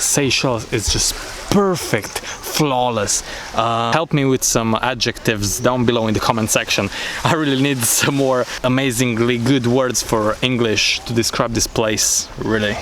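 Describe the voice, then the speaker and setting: A man with very even loudness and fairly even intonation, over noticeable background noise. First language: not English. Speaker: travel vlogger. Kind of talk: travel vlog narration. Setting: outdoors.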